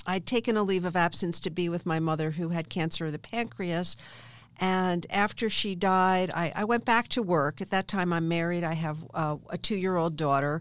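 A woman with an American accent speaks at a moderate pace in a fairly low voice, with ordinary pitch movement, on a very clean recording with a silent background. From Philadelphia area, US. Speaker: business executive and politician. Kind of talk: interview. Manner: hesitant fillers.

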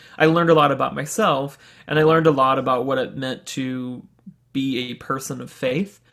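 An unremarkable speaking voice belongs to this man with an American accent. He talks at a moderate pace in a medium pitch, with fairly even intonation. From US South, Birmingham, Alabama. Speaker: realtor. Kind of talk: casual interview conversation.

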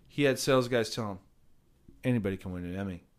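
A man with a Southern California accent speaks in a very clean recording with a silent background. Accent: general American (Southern California). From Orange County, California. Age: 40s. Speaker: podcast host. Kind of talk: casual chat. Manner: animated.

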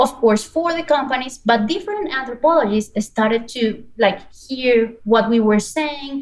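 Against noticeable background noise, a woman with a Spanish accent and a high pitch speaks at a fairly slow pace with lively intonation and hardly any pauses. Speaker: business anthropologist and service designer. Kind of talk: interview.

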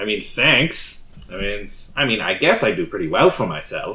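Putting on a nasal character voice, a man talks at a moderate pace. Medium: actual play. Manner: smug, condescending.

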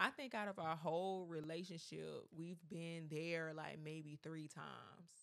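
A woman's fairly low voice at a fairly slow pace, with hardly any pauses. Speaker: podcast co-host. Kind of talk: casual chat. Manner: naturally loud, animated.

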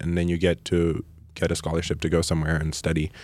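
A man's very deep, low voice at a very fast pace on a very clean recording with a silent background. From Malawi. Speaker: artist and musician. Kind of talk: interview.

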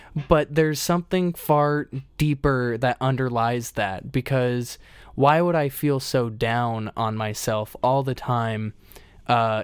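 A man with a plain, everyday voice speaks at a fairly slow pace and medium pitch, with ordinary pitch variation, on a very clean recording over a silent background. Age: 20s. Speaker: podcast co-host and former lifeguard. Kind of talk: casual conversational podcast.

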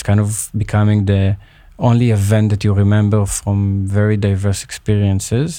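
With an Israeli accent, the speaker's dark, mellow tone stays flat and monotone at a moderate pace in a very clean recording over a silent background. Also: man. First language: Hebrew. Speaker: peace activist. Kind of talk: interview. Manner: halting.

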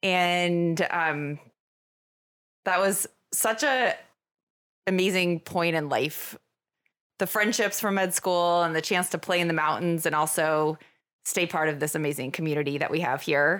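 In a very clean recording with a silent background, a woman with an American accent has an unremarkable speaking voice. Her pitch is fairly low, with ordinary pitch variation, very even loudness and a fairly slow pace. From Vermont, US. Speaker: emergency physician and medical director. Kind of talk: casual interview.

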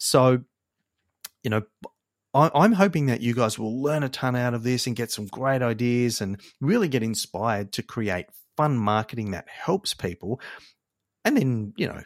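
With an Australian accent, a man speaks at a medium pitch and a moderate pace, his intonation lively. The sound is dry and close with no echo, in a very clean recording with a silent background. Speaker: marketing agency podcast host. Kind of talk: casual solo podcast intro.

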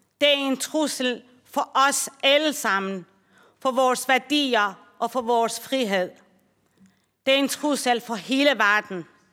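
A woman with a Persian accent speaks in a high, bright, sharp voice. Her pace is very slow, with long, frequent pauses. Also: ordinary pitch variation. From Iran. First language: Persian (speaking Danish). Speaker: social worker. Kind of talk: speech. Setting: conference hall. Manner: formal.

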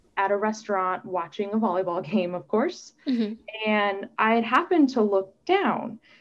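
Here is a woman with a normal speaking voice, using an American accent. Her pitch is fairly high and her pace moderate. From US Midwest (Omaha, Nebraska). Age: 30s. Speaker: doctoral student living with MS. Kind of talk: interview testimony.

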